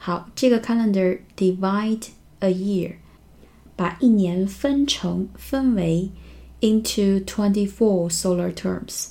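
A woman's somewhat breathy voice, dark and mellow in tone, comes out at a very slow speed. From northern Jiangsu, China (Xuzhou). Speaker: English teacher podcaster. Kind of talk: language lesson explaining news. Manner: slow, repeating words for learners.

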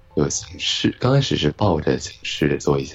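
Over music in the background, a man speaks quietly and at a fairly slow pace. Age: 20s. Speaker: online radio host. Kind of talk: interview. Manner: quiet, subdued; hesitant, halting. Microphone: laggy connection.

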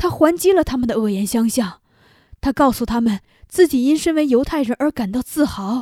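A dark, mellow tone carries lively intonation at a moderate pace, with a dry, close sound and no echo. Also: woman, high pitch for a woman. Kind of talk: literary audiobook reading of an epistolary story, letter read aloud.

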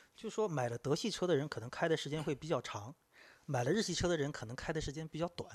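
A man's fairly high voice, very fast and lively in intonation, with a dry, close sound and no echo. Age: 40s. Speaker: podcast guest discussing cars. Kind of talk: casual chat.

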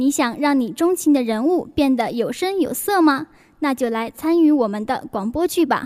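A woman speaks with a high pitch and lively intonation. Her pace is moderate. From northern China. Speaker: student radio host. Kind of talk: reading out a station announcement.

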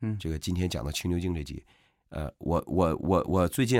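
Speaking at a very fast pace, this voice has an animated tone and audible vocal fry. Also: man. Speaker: podcast co-host discussing classic novel. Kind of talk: casual chat.

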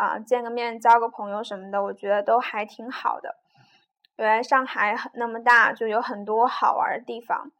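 At a moderate pace, a woman speaks in a fairly high voice with fairly even intonation. Her loudness swings widely. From China, Jiujiang, Jiangxi. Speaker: podcaster. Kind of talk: casual monologue. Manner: halting, many fillers.

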